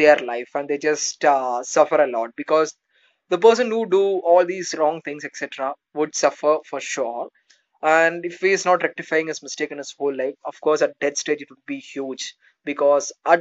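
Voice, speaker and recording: A man at a moderate pace, ordinary pitch variation, big swings in loudness, and a quiet background. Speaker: motivational vlogger. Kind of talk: casual motivational talk. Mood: earnest, reflective. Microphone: phone near.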